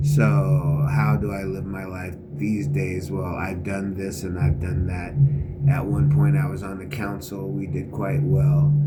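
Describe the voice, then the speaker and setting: At a fairly slow pace, a man with a very deep, low pitch swings very widely in pitch, with noticeable background noise and audible room echo. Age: 50s. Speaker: vlogger, military veteran. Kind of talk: casual monologue. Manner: halting, many fillers.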